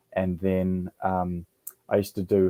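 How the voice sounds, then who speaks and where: With a New Zealand accent, a man speaks in a very deep, low pitch and a dark, mellow tone, the sound dry and close with no echo. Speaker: yoga teacher and military veteran. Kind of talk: interview. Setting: podcast. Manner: soft-spoken.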